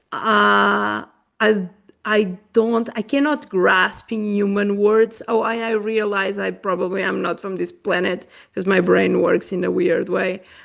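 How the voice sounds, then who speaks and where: Speaking in a Portuguese accent, a woman talks. Her pace is fairly slow. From Portuguese-born, raised in Africa. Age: 40s. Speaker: podcast host. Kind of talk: podcast conversation.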